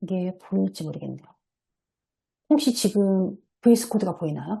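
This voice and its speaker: Her dark, mellow tone is somewhat breathy as the woman speaks at a fairly quick pace in a medium pitch with lively intonation. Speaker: software developer presenting at a seminar. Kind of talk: online seminar presentation with screen share. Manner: hesitant fillers.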